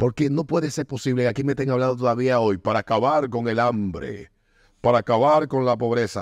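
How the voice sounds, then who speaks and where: A man has a normal speaking voice at medium pitch with ordinary pitch variation. He talks at a fairly quick pace with very even loudness. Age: 40s. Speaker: podcast host. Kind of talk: casual chat.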